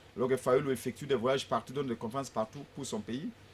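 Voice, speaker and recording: Intonation from this man stays fairly even. His pitch is medium. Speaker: opposition politician. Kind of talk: political talk show debate. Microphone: far from the mic.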